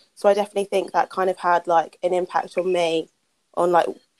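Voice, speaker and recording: A British-accented woman at a fairly quick pace, in a dry, close sound with no echo. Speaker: podcast co-host. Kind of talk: casual chat.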